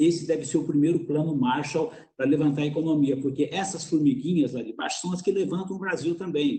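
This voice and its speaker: This man has an unremarkable speaking voice, fairly high in pitch, with ordinary pitch variation, a fairly quick pace and hardly any pauses. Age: 60s. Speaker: business executive and mentor. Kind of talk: webinar panel answer.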